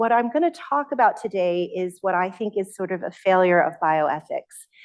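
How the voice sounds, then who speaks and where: A woman is speaking. Her pace is moderate. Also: hardly any pauses. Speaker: surgeon and bioethicist. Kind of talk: lecture.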